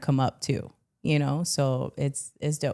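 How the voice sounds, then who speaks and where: A woman's very deep, low voice in a Miami accent, dark and mellow in tone, at a fairly slow pace with monotone, flat intonation. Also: very clean recording, silent background. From Miami, Florida. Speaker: stand-up comedian and actress. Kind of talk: casual chat.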